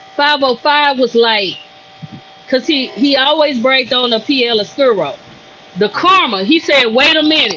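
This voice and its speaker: A woman with a Louisiana accent speaks in a raised, projected voice, her high pitch and animated tone holding very even loudness over noticeable background noise. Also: lively intonation, moderate pace. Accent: Louisiana Southern. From Louisiana, US South. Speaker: cigar brand owner. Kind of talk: podcast interview.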